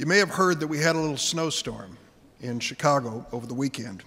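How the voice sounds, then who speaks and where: A man with an American accent, fairly high-pitched, at a moderate pace with ordinary pitch variation, over noticeable background noise. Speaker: U.S. senator giving a ceremony speech. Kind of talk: formal ceremonial speech honoring veterans.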